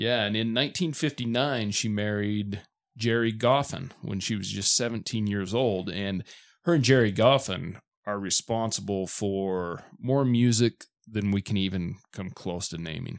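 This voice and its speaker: With a plain, everyday voice, a man speaks at a fairly slow pace with a fairly low pitch. His pitch variation is ordinary, and the recording is very clean with a silent background. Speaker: podcast host. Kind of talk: casual album review chat.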